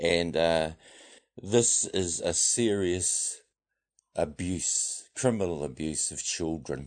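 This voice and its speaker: A very slow voice with a New Zealand accent and ordinary pitch variation, set against a quiet background. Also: man, very deep, low pitch for a man. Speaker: men's rights activist. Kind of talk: radio interview. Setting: studio.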